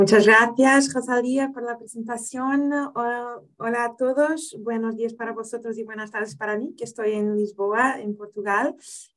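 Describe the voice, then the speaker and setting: A woman speaks in a fairly high pitch at a fairly slow pace, with hardly any pauses. Her intonation stays fairly even. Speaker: lawyer. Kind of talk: webinar presentation. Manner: halting.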